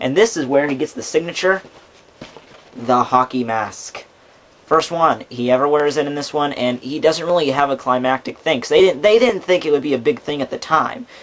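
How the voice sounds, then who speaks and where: A fairly high male voice, ordinary pitch variation, and noticeable background noise. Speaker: movie reviewer. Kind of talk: casual movie review talk to camera. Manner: fast.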